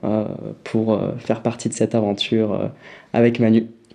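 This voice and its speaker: Speaking at a fairly slow pace, a man uses a dark, mellow tone at a medium pitch. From southern France, near Perpignan. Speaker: nutrition brand founder. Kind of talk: casual interview. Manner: hesitant, many fillers.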